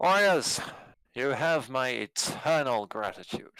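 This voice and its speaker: In a booming, put-on character voice, a man speaks at a fairly slow pace with a medium pitch and lively intonation. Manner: booming, commanding.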